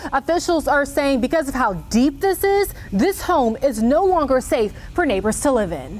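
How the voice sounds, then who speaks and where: A woman speaks in a high voice at a moderate pace. There is noticeable background noise. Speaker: TV news anchor and reporter. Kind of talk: TV news field report. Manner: enthusiastic, upbeat.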